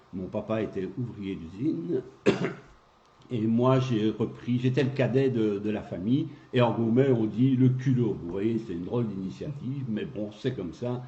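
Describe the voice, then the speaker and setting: A somewhat breathy man speaks fairly slowly at medium pitch with ordinary pitch variation. Room echo is audible. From Belgium, Gaume (Rachecourt). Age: 60s. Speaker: local election candidate. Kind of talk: interview.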